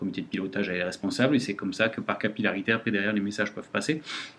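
This is a man speaking. His pitch is fairly low. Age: 40s. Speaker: company director. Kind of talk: interview. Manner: hesitant.

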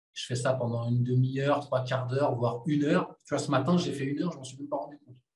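This man's voice is somewhat breathy. His pitch is medium and his intonation fairly even. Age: 30s. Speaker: movement coach, former pro boxer. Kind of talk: casual interview.

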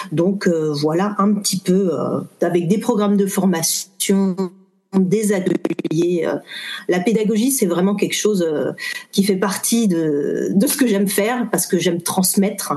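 A woman talks at a fairly slow pace and medium pitch. Hers is an unremarkable speaking voice. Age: 40s. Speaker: tarot reader and trainer. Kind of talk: interview.

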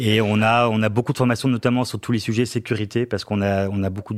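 A man at a fairly quick pace, monotone and flat in intonation, on a very clean recording with a silent background. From northern France, Lille. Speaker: finance director. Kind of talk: interview. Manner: hesitant, frequent fillers and repetitions.

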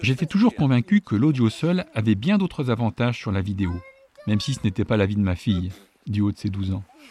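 A man's somewhat breathy, dark, mellow voice in a fairly low pitch, at a fairly quick pace with lively intonation, in a dry, close sound with no echo. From northern France, Château-Thierry area. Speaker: podcast host. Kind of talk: scripted narration.

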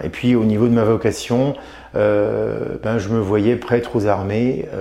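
Over noticeable background noise, a man speaks at a fairly slow pace. His pitch is fairly low and his intonation monotone and flat. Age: 50s. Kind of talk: interview. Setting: aboard a navy ship. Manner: halting, many hesitations.

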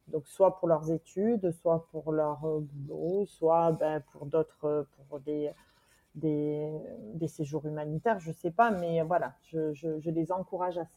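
In a very deep, low pitch and a dark, mellow tone, a woman speaks very slowly with fairly even intonation, the sound dry and close with no echo. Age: 40s. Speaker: single mother, expatriate's sister. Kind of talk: interview. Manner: halting.

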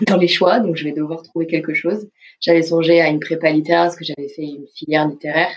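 Fairly even intonation from a woman's fairly low-pitched voice. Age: 20s. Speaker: film studies student. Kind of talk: interview testimony. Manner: hesitant, many fillers.

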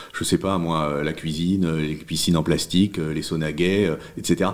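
A man speaks over noticeable background noise. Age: 50s. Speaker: newsletter founder and writer. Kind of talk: interview. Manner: halting, many repetitions.

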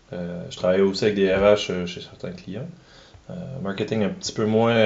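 A man with a Quebec accent and a fairly low pitch speaks against audible room echo. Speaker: agile coach. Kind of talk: interview.

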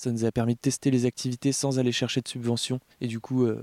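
Fast-ish and flat, a man speaks in a monotone with a medium-pitched, dark, mellow tone, in a dry, close sound with no echo. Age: 30s. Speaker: co-founder of a rural cultural association. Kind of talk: interview. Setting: outdoors. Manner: hesitant, with fillers.

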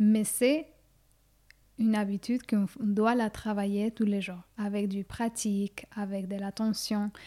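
In a very clean recording with a silent background and a dry, close sound with no echo, a woman speaks very slowly at a medium pitch in a dark, mellow tone. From Ecuador. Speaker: collage artist. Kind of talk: interview. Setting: at home. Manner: halting.

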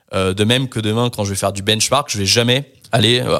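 Speaking at a fairly quick pace, a man uses a medium pitch and a bright, sharp tone. His intonation stays fairly even on a very clean recording with a silent background. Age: 30s. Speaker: tech startup co-founder. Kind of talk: casual interview. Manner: hesitant with fillers.

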